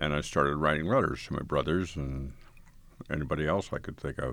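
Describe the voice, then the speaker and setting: This man has a very deep, low pitch and an American accent. His intonation stays fairly even, with vocal fry throughout. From northeastern Colorado, US. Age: 80s. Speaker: blind community member telling life story. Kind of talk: recorded interview, reminiscing. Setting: recording studio. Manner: conversational, relaxed, laughs.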